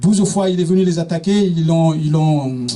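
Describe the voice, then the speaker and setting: Speaking fairly slowly, a man with a high pitch keeps his intonation fairly even. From eastern Senegal. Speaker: speaker on African history. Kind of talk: public talk. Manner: halting, many hesitations and repetitions.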